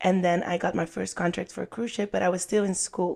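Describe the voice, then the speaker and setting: A woman with a Dutch accent talks at a fairly low pitch with fairly even intonation, recorded very cleanly against a silent background. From Netherlands. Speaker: podcast guest, former cruise ship performer. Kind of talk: casual interview.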